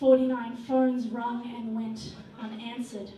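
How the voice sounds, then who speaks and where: A woman with an Australian accent speaks at a fairly slow pace. Audible room echo and light background noise surround her voice. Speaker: spoken word poet. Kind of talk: performance poetry. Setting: stage at a hotel venue. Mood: grave, sorrowful, impassioned. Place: stage.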